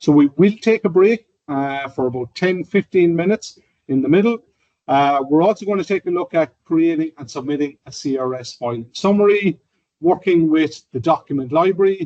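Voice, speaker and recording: With an Irish accent, a man speaks in a dark, mellow tone with ordinary pitch variation. The sound is dry and close with no echo. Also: fairly high pitch for a man, moderate pace. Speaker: software trainer. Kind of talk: presentation. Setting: in-person session with online audience.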